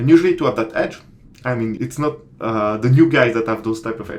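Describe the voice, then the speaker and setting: A man with a non-native accent, medium in pitch and speaking at a fairly quick pace. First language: not English. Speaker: commodity trader and online course creator. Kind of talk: tutorial. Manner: casual, hesitant with many fillers.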